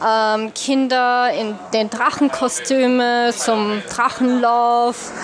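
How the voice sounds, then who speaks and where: A woman's high, monotone voice with flat intonation, very slow and with hardly any pauses, over noticeable background noise. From Upper Austria. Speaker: expat traveller. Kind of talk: interview. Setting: café. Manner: hesitant.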